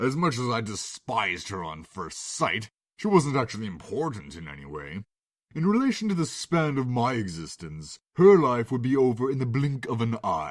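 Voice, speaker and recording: A man puts on a character voice at a medium pitch. His pitch swings very widely. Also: moderate pace. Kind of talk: read story. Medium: read story. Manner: sardonic, theatrical.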